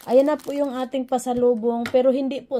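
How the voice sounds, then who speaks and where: A woman's dark, mellow tone at a moderate pace. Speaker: vlogger. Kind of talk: casual vlog talk.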